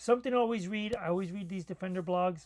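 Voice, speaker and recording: A man mumbles in a high pitch. His pitch varies an ordinary amount. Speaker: cybersecurity commentator. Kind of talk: solo tech commentary. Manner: mumbling; hesitant, many fillers.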